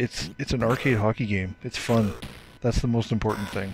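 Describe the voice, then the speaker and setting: A man is heard over noticeable background noise. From Canada. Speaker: gaming YouTuber. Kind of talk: casual gameplay commentary. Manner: animated, frequent laughter.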